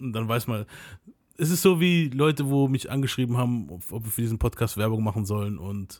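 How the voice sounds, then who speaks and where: With a normal speaking voice, a man talks at a fairly quick pace and medium pitch with lively intonation on a very clean recording with a silent background. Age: 30s. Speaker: podcast host. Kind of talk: casual chat. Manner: casual slangy storytelling.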